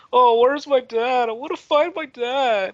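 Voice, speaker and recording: A put-on, whiny character voice with a whiny tone, a fairly high pitch, and a moderate pace. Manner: whiny, pleading.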